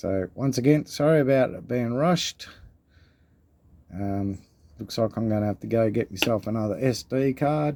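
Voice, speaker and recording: On a very clean recording with a silent background, a man with an Australian accent speaks at a moderate pace in a dark, mellow tone, using medium pitch, ordinary pitch variation and long, frequent pauses. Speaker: coin collecting youtuber. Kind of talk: casual video vlog. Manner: casual, rambling.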